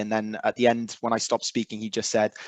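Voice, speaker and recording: Here a man speaks with a Welsh accent. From South Wales. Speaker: recovery fellowship member. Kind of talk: testimony. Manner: halting.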